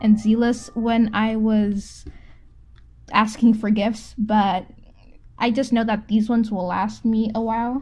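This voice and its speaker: Her voice fairly high with a dark, mellow tone, a woman speaks at a fairly slow pace. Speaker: art youtuber. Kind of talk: casual chat while drawing. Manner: halting; casual.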